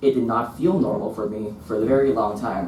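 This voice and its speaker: The speaker's intonation is lively, heard through audible room echo and noticeable background noise. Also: man. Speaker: visual artist. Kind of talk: reading aloud. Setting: stage with audience. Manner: stutter.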